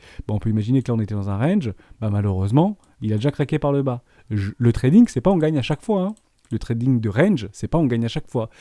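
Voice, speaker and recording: On a very clean recording with a silent background and a dry, close sound with no echo, a man speaks very fast in a medium pitch with a dark, mellow tone and lively intonation. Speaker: crypto trading analyst. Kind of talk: tutorial.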